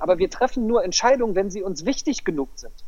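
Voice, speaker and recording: Very wide swings in pitch mark this voice, which moves at a very fast pace. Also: man. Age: 40s. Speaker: life coach. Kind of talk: interview.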